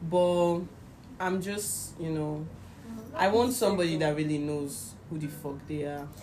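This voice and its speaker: A woman speaks in a fairly low voice with ordinary pitch variation at a fairly slow pace. Noticeable background noise and audible room echo surround her. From Nigeria. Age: young. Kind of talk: casual chat. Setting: indoors with friends.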